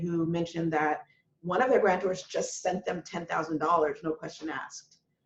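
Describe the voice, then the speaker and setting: At a fairly quick pace, a woman speaks in an unremarkable speaking voice, fairly low in pitch, with fairly even intonation. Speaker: funder at a foundation. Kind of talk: webinar panel talk. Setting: video call webinar.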